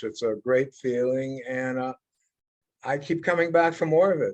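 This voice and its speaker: Fairly even intonation in a man's fairly high-pitched voice. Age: 60s. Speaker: heavy metal guitarist. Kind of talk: interview.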